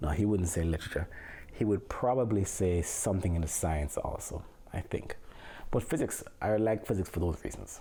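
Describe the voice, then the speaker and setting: In a strong Jamaican accent, the voice has a dark, mellow tone, is somewhat breathy, and moves at a moderate pace. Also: man, very deep, low pitch for a man, ordinary pitch variation. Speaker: physics teacher. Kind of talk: casual family interview. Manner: eloquent.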